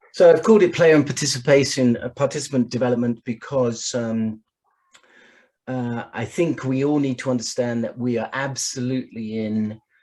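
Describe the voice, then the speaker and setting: A man with an English accent and fairly even intonation. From England. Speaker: sport science expert. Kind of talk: online presentation.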